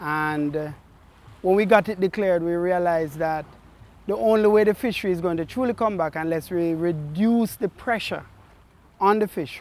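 This man has a high voice, recorded in a dry sound with no echo. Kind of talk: interview answer. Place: waterside. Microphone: lapel.

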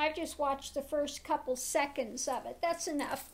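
A woman's high-pitched voice at a moderate pace. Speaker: tarot reader, spiritual teacher. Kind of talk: casual talk to camera. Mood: concerned, critical. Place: home room. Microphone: webcam.

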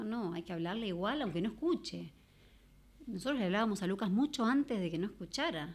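Very wide pitch swings from a woman talking at a fairly quick pace. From Argentina. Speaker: mother of a deaf child; podcast guest. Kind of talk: personal testimony. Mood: earnest, reflective. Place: studio. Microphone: studio mic.

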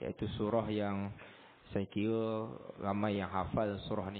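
Over light background noise, a man with a fairly low pitch speaks slowly in a monotone, flat manner. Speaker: religious teacher. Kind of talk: religious lecture. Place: church.

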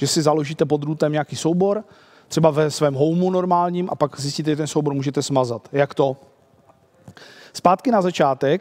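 The speaker is a man talking at a moderate pace. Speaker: conference presenter. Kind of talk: lecture. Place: hall.

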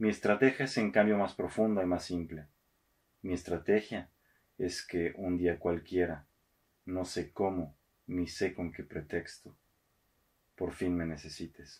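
Against a quiet background, a man with a very deep, low pitch talks at a fairly slow pace. His pitch varies in an ordinary way, and he takes long, frequent pauses. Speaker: radio host and poetry reader. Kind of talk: poetry reading, read aloud in a theatrical actor's delivery. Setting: studio recording. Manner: measured, expressive, slow and intimate. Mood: calm, intimate.

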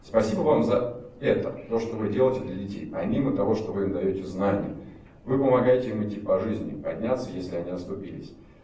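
A man's fairly low pitch at a fairly quick pace, with ordinary pitch variation and audible room echo. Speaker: regional governor. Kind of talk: formal speech at award ceremony. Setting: ceremony hall with audience. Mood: grateful, warm. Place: hall.

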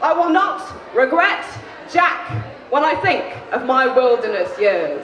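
A woman shouts at a high pitch in an English accent, her pitch swinging very widely. She pauses long and often, with audible room echo and light background noise. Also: fairly slow pace, very even loudness. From England. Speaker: spoken word poet. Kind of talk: live spoken word poetry performance. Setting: live venue. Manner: shouty. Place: stage. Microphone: handheld.

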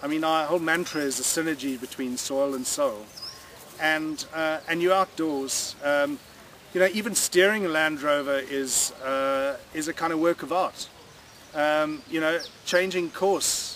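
A man talks at a fairly slow pace with ordinary pitch variation. The sound is dry with no echo, with light background noise. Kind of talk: interview answer. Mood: relaxed, cheerful. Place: waterside.

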